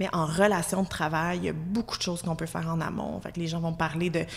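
This woman's voice sits at a fairly low pitch. She talks at a fairly quick pace with fairly even intonation. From Quebec, Abitibi (Amos). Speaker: employment lawyer. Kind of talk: casual chat.

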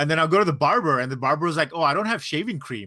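Over a silent background in a very clean recording, a man with a fairly high pitch and a bright, sharp tone speaks at a very fast pace with lively intonation. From South and Southeast Asia (India, Singapore, Brunei). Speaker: podcast co-host. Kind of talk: casual chat. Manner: halting with many fillers.

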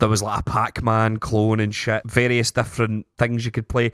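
The speaker is a man with a medium pitch. The sound is dry and close, with no echo. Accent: Scottish. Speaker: podcast host. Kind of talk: casual chat.

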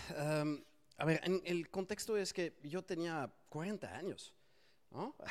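A man speaks at a very slow pace in a high-pitched voice. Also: ordinary pitch variation. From France. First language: French (speaking Spanish). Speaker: SEO agency founder. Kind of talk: interview. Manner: hesitant with many fillers.

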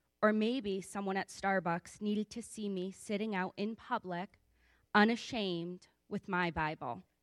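A woman's normal speaking voice at medium pitch, with ordinary pitch variation and a moderate pace, dry and close with no echo, on a very clean recording with a silent background. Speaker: church member giving testimony. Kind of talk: testimony. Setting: church.

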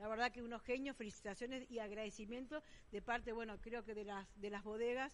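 A woman uses a normal speaking voice at a fairly high pitch, with fairly even intonation. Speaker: winery director. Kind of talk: radio interview. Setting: restaurant, live broadcast.

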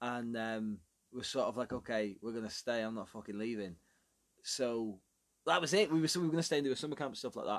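Fairly quick speech from a man of medium pitch, with ordinary pitch variation over a quiet background. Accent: Belfast. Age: 20s. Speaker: podcast co-host. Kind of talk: casual chat.

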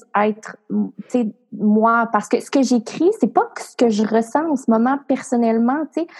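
A woman with an ordinary speaking voice keeps a moderate pace, her fairly high pitch moving with ordinary variation. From Quebec, rural Portneuf area. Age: 20s. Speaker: entrepreneur and coach. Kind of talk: interview.

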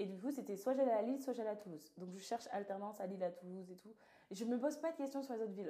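A woman speaks with lively intonation. Her tone is dark and mellow. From southern France. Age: 20s. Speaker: podcast host. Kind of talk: casual chat.

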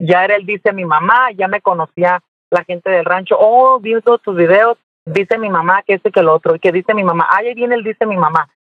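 He speaks at a fairly quick pace. The man's pitch is high. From Mexico, Jalisco. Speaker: social media comedian. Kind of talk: interview.

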